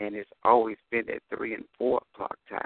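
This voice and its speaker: A man talks at a fairly slow pace. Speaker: caller. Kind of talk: prayer request. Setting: phone call.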